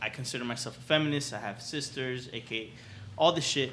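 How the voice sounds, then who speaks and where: Noticeable background noise and audible room echo surround a man of medium pitch who talks at a fairly quick pace with ordinary pitch variation. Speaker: comedian. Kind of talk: casual chat. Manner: animated.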